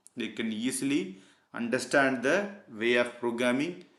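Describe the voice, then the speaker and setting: Audible room echo surrounds a man at a medium pitch. He speaks at a fairly slow pace with ordinary pitch variation. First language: not English. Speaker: PLC programming tutor. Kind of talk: tutorial. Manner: halting, many fillers.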